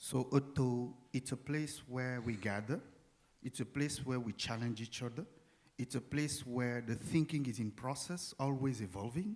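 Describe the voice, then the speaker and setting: Speaking with a non-native accent, a man uses a medium pitch, ordinary pitch variation and a moderate pace. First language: not English. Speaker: performance artist. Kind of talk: panel discussion. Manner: halting.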